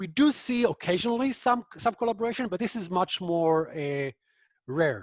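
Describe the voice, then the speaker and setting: A man talks with lively intonation and a non-native accent. The sound is dry and close, with no echo. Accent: foreign. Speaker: professor and author on extremism. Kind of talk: online book talk Q&A. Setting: video call webinar. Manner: hesitant, many fillers.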